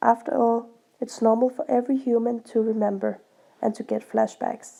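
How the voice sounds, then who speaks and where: The voice is dark and mellow, with a Danish accent and monotone, flat intonation. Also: woman. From Denmark. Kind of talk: casual talk to camera.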